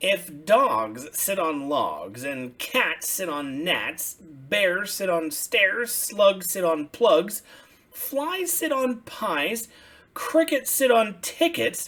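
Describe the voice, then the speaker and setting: In a put-on character voice at middle pitch, the speaker projects loudly at a very slow pace. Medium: read story.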